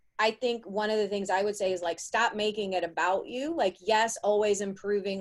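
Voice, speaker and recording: Her voice sits at a medium pitch, a woman speaking with an American accent. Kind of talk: live panel discussion. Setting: live video stream.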